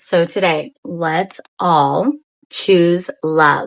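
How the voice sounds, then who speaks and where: A woman's voice at medium pitch. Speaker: spiritual content creator. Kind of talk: spiritual message. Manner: calm.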